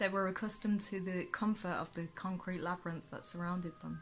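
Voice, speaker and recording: A woman with a Birmingham accent, medium-pitched and somewhat breathy, at a moderate pace. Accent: Brummie. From England, Birmingham area. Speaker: author. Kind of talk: reading aloud. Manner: halting.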